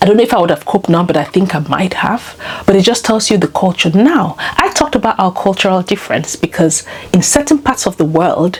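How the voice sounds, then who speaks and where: Over noticeable background noise, a woman talks at a very fast pace with a medium pitch, lively intonation and very even loudness. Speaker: lifestyle vlogger. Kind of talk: casual monologue.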